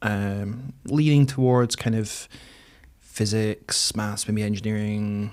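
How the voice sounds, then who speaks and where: In a northeast Scottish accent, a man talks at a fairly slow pace. His fairly low pitch keeps a fairly even intonation. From northeast Scotland, between Aberdeen and Dundee. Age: 30s. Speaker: mature student. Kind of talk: podcast interview. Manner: hesitant, many fillers.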